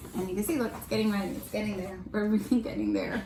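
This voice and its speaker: There is audible room echo as a woman speaks with a fairly high pitch. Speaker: homeschooling parent and channel host. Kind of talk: casual chat. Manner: fast.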